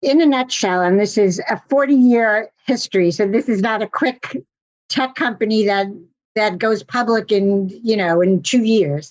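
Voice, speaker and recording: With an American accent, a woman talks at a fairly slow pace in a fairly high voice, her intonation lively, an unremarkable speaking voice. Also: very even loudness. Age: 60s. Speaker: physical and occupational therapist, practice broker. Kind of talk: interview.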